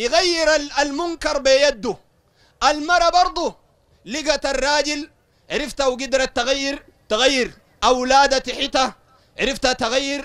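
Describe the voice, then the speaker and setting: Speaking with a Sudanese accent, a man with an extremely high-pitched, bright and sharp voice talks at a fairly slow pace with ordinary pitch variation. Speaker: Salafi preacher. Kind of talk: religious lecture to a study circle. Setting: study circle with audience. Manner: animated.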